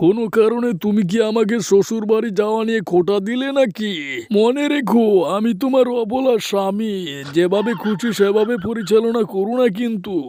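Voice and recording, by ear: A man uses a cartoonish character voice with a high pitch, a fairly slow pace, and fairly even intonation over light background noise.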